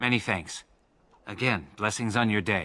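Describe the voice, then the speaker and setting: Putting on a character voice, a man speaks with a fairly low pitch at a moderate pace. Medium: video game.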